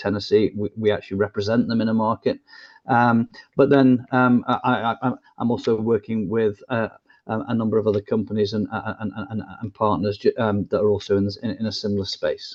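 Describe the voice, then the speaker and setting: A man speaks with an English accent. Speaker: business consultant. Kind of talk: interview. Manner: halting.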